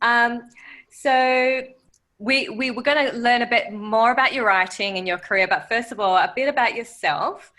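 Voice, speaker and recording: A bright, sharp tone with lively intonation at a moderate pace, in a very clean recording with a silent background. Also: woman. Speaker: podcast co-host. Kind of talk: interview.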